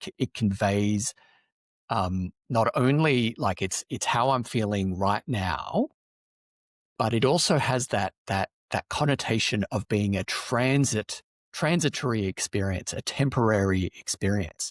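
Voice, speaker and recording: A man with an Australian accent, fairly low in pitch with ordinary pitch variation, at a fairly slow pace, in a very clean recording with a silent background and a dry, close sound with no echo. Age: 40s. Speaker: loneliness advocate, podcast guest. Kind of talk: podcast interview. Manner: animated.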